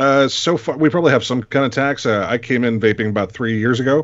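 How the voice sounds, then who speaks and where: A normal speaking voice from a man, with ordinary pitch variation and a moderate pace. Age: 30s. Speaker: vape reviewer panelist.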